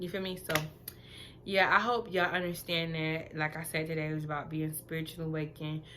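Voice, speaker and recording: A woman talks at a fairly quick pace, her pitch very deep and low for a woman and her tone bright and sharp. Her intonation stays fairly even, and room echo can be heard. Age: 20s. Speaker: vlogger. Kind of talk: casual monologue to camera. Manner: monotone.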